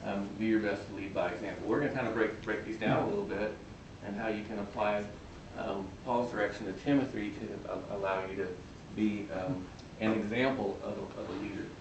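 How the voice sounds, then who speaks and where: A man mumbles at a fairly quick pace with fairly low pitch and fairly even intonation. Audible room echo and noticeable background noise surround him. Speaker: physician speaker. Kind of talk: talk to students. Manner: mumbling; halting.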